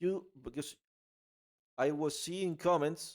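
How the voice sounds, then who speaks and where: A man with an Argentine accent talks at a fairly slow pace on a very clean recording with a silent background. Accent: Argentinian Spanish accent in English. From Argentina. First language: Spanish. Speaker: political commentary vlogger. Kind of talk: casual opinion monologue. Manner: halting, many fillers and repeats.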